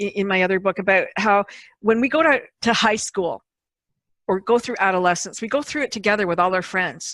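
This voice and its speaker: At a moderate pace, a woman speaks with a medium pitch and ordinary pitch variation, in a dry, close sound with no echo. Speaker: podcast host. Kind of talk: casual interview conversation.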